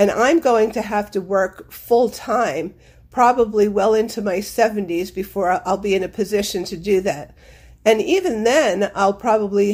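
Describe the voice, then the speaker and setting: A woman's ordinary speaking voice at medium pitch, with ordinary pitch variation and a fairly slow pace, on a very clean recording with a silent background. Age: 60s. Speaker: listener. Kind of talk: voice memo.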